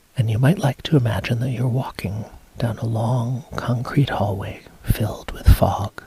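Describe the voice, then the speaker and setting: Speech at a moderate pace amid noticeable background noise. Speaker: hypnotist, hypnosis induction guide. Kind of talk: hypnotic induction, guided trance script.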